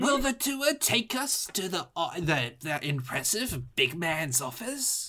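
A put-on character voice at a middle pitch moves very slowly with hardly any pauses, its pitch swinging very widely. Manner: sardonic, wry.

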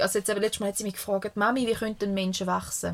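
A woman's voice sits fairly high and races along very quickly. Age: 30s. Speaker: podcast co-host, mother. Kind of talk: casual chat. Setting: caravan studio.

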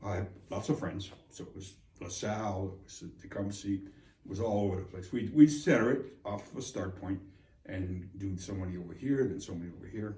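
Speech moves at a fairly quick pace. The tone is dark and mellow and somewhat breathy. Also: man. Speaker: client. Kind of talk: casual interview.

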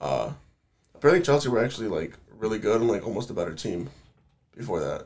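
This man's medium-pitched voice carries vocal fry and very wide pitch swings, racing at a very fast pace yet broken by long, frequent pauses. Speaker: football podcast co-host. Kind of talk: casual chat. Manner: animated.

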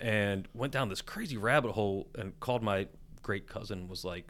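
A man talks in a plain, everyday voice with an American accent. His pitch is fairly low, with ordinary variation, and his pace is moderate. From West Virginia, Charleston. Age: 40s. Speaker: chef and restaurant owner. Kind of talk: casual chat.

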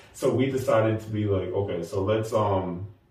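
A man's somewhat breathy, dark, mellow voice at a fairly slow pace, with ordinary pitch variation and audible room echo. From Nashville. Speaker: app co-founder. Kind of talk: casual interview.

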